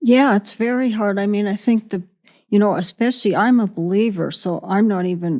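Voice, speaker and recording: The voice has a dark, mellow tone and a Western US accent, with ordinary pitch variation at a moderate pace. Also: woman. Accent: American Western. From Wyoming. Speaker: ranch woman. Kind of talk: interview answer.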